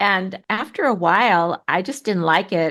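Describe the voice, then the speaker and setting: This woman speaks at a moderate pace with an American accent, at medium pitch with ordinary pitch variation. Her tone is bright and sharp, in a very clean recording with a silent background. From US. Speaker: author and pilgrim. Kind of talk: interview. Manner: casual, conversational.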